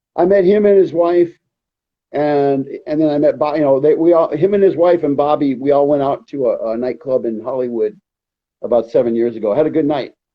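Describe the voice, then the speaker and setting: With an ordinary speaking voice, a man talks at a fairly quick pace and with ordinary pitch variation. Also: fairly high pitch for a man. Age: 50s. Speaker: reality TV repo agent. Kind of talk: live interview.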